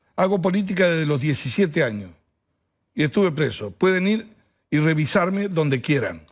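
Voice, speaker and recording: A man speaks at a fairly quick pace in a high voice with lively intonation and very even loudness, leaving long, frequent pauses. The recording is very clean with a silent background. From Argentina, small town. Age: 60s. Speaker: politician. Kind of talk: TV interview.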